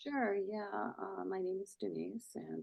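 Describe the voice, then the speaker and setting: A woman speaks in a soft-spoken way. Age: 60s. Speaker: podcaster in addiction recovery. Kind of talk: interview.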